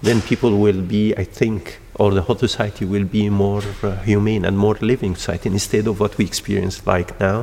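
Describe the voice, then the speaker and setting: A man speaks fairly quickly with hardly any pauses. His voice is fairly low, with monotone, flat intonation. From Egypt. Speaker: endocrinologist and stem cell researcher. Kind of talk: interview. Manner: halting.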